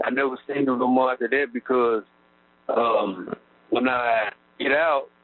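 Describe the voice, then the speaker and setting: A man is speaking. He has an Arkansas accent. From Arkansas, Texarkana area. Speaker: prison inmate. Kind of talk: interview. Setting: prison phone call. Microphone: prison phone line.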